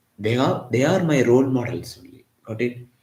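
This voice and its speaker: The voice is somewhat breathy, with a Tamil accent. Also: man. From Tamil Nadu, India (Chennai). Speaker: physics teacher. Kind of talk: live online lecture.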